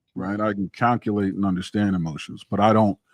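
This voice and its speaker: A man talks in an ordinary speaking voice, fairly low in pitch, at a moderate pace. The sound is dry and close with no echo. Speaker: podcast host. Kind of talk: casual chat.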